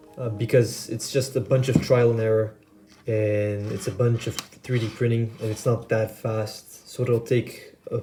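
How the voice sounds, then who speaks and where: A man with a Belgian accent speaks at a fairly slow pace, his pitch medium and his intonation flat and monotone. Noticeable background noise runs under the recording. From Belgium. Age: 18. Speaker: hobbyist maker YouTuber. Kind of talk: casual vlog narration of a DIY build.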